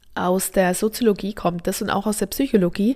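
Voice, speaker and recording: A woman speaks at a medium pitch. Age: 30s. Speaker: birth preparation coach. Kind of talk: podcast monologue.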